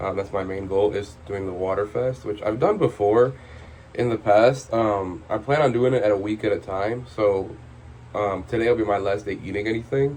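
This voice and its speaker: A somewhat breathy man's voice, fairly low in pitch, with ordinary pitch variation at a moderate pace. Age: 20s. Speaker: vlogger. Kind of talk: personal vlog monologue. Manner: hesitant, many filler words.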